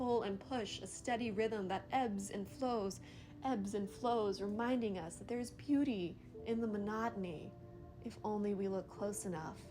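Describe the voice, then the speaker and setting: A woman's medium-pitched voice, fairly slow and with ordinary pitch variation, set over background music. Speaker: poet. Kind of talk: spoken word poetry reading.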